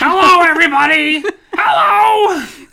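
This is a put-on character voice pitched high. It is shouting. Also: moderate pace.

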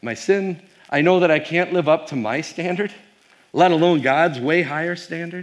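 With an American accent, a man talks at a fairly quick pace. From Wisconsin. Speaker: pastor and professor. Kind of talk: keynote talk to youth audience. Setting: stage with audience. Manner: fast; casual with frequent fillers.

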